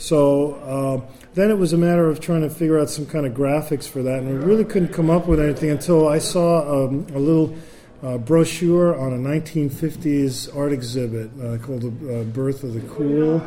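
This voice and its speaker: The man's pitch is fairly high. Noticeable background noise runs under his voice. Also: ordinary pitch variation, moderate pace. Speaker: jazz bassist. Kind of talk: interview. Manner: talkative, long-winded.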